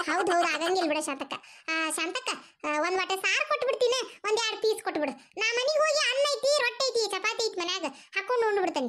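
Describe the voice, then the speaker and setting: Putting on a squeaky character voice, a woman talks at a moderate pace at an extremely high pitch, her pitch swinging very widely. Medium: cartoon. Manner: grumbling, complaining, comic.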